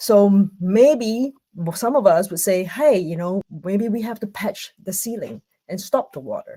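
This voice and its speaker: A woman speaks in a Singaporean accent at a fairly slow pace, her loudness swinging widely. Her pitch is medium with ordinary variation, and her tone is dark, mellow and somewhat breathy. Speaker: conference speaker. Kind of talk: online conference talk. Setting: video call from home. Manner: hesitant, many fillers.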